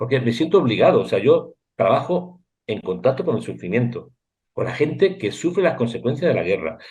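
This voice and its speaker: This man talks at a very fast pace with vocal fry. His pitch swings very widely. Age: 60s. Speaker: war reporter and photographer. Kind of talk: interview. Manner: animated.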